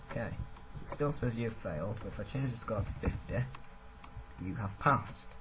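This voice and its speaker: Over noticeable background noise with audible room echo, a man at medium pitch talks at a fairly quick pace with lively intonation and long, frequent pauses. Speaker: programming tutor. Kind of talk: screen-recorded coding tutorial. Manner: fast.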